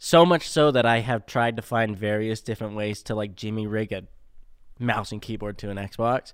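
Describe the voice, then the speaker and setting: A man's fairly low, unremarkable speaking voice at a moderate pace with ordinary pitch variation, on a very clean recording with a silent background. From Utah, Spanish Fork. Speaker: drain technician. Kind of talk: casual interview. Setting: studio.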